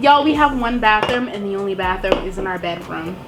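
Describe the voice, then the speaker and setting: Amid audible room echo and noticeable background noise, a woman speaks with very wide pitch swings. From Boston. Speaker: YouTuber. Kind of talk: casual chat.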